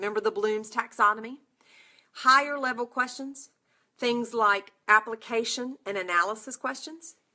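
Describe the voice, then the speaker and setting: Bright and sharp in tone, a woman's voice sits fairly high with a North Carolina accent. Her pace is fairly slow. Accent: Southern US (North Carolina). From North Carolina, US South. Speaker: nursing exam prep instructor. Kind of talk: live webinar talk. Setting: online broadcast from computer. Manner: animated.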